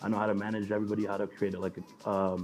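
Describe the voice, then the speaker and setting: Over background music, a man with an American accent talks very fast in a fairly low, monotone voice. His intonation stays flat throughout. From New York, with early childhood in Mexico. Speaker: DJ. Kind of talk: casual interview.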